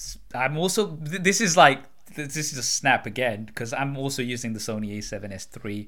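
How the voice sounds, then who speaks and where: A man with a British accent talks at a fairly quick pace and a medium pitch, his tone bright and sharp. His intonation is lively, and his loudness swings widely. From UK. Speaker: podcast host. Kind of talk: casual chat.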